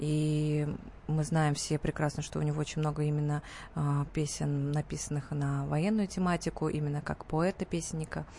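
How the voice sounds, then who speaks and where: At a moderate pace, a woman speaks in a very deep, low pitch, somewhat breathy, with monotone, flat intonation and very even loudness. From Tatarstan, Russia (Nizhnekamsk). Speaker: pop and opera singer. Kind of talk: radio interview. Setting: radio studio.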